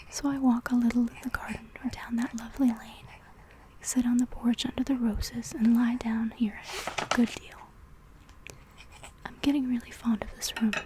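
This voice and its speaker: The speech is whispered. Noticeable background noise accompanies it. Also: woman. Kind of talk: soft-spoken reading of a classic story for ASMR. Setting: ASMR recording with layered writing and page sounds. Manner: soft-spoken, whispery.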